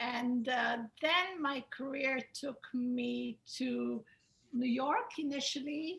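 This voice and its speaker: With an Israeli accent, a woman speaks at a very slow pace. Her pitch is high. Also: ordinary pitch variation. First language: Hebrew. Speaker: attorney. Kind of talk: webinar self-introduction.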